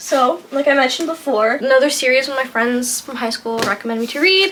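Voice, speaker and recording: A high-pitched woman's voice with lively intonation, over noticeable background noise. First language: French. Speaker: booktuber. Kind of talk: casual vlog book recommendations. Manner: hesitant, filler-heavy.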